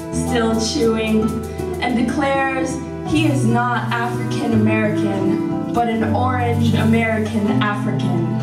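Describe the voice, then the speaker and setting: A woman speaks at a very slow pace. Loud background noise runs underneath. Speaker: poet. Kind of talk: poetry reading. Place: hall.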